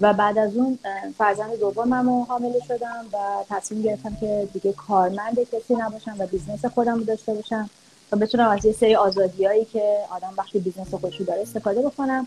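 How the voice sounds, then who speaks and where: Her pace is very fast, her tone dark and mellow, and she sounds somewhat breathy. The woman's pitch is fairly high, with fairly even intonation. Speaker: early childhood educator and parenting coach. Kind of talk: interview.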